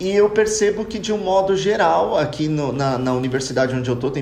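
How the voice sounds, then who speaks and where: There is noticeable background noise and audible room echo. Through it, a man talks at a moderate pace with lively intonation. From Brazil. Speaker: podcast panelist. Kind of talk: casual chat.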